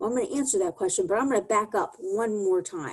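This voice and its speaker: Her pitch swinging very widely, a woman talks at a fairly quick pace. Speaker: communications consultant, presenter. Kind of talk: presentation to a business audience. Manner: fast; animated.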